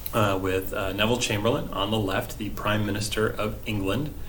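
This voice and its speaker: Audible room echo and noticeable background noise surround a man's voice. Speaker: history teacher. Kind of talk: recorded remote lesson. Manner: casual, hesitant with many fillers.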